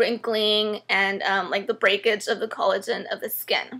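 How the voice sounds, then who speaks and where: The recording is very clean with a silent background, and the tone comes across bright and sharp. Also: woman. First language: not English. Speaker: beauty vlogger. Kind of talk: product review tutorial. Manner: casual, hesitant with many fillers.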